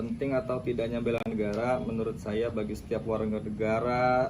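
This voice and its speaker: At a moderate pace, a man of medium pitch speaks with fairly even intonation, and room echo is audible. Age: 30s. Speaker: high school teacher. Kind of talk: interview answers.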